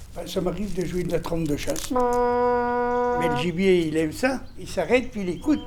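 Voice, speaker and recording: Amid noticeable background noise, the speech runs at a moderate pace with hardly any pauses. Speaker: hunter. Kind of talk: casual interview.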